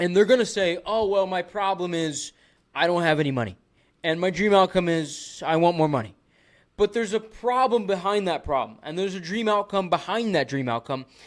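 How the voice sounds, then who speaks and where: The intonation is lively and the tone animated, moving at a fairly quick pace. The recording is very clean, with a silent background. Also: man, high pitch for a man. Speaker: business coach, social media marketer. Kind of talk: tutorial. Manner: fast.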